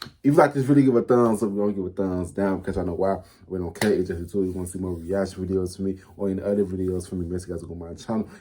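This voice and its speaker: In a very deep, low voice with a dark, mellow tone, a man races along very fast with hardly any pauses, his loudness swinging widely and his pitch moving in an ordinary way. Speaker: YouTube reaction creator. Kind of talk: casual reaction commentary.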